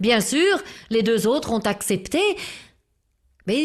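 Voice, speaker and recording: Against a quiet background, a woman with a fairly high pitch speaks at a very slow pace. Her tone is calm yet strained. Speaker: storyteller. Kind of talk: storytelling for children. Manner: calm, measured; restrained or vibrant for suspense.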